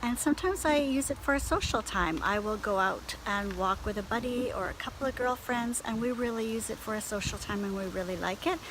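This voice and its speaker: Amid noticeable background noise, a woman with a Canadian accent speaks at a fairly quick pace with hardly any pauses, a fairly high pitch and lively intonation. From Canada. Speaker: beauty and lifestyle blogger. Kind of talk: casual talk to camera. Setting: outdoors.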